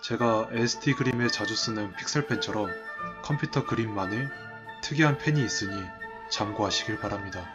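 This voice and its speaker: A man at a moderate pace, with ordinary pitch variation and music in the background. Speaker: digital artist / video creator. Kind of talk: speed-painting narration, explanatory talk with jokes. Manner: casual, self-deprecating, humorous.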